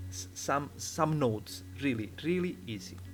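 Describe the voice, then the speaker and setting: A man talks in an Italian accent, his pitch swinging very widely. There is audible room echo. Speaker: 3D software tutorial maker. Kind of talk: tutorial. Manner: halting, many fillers.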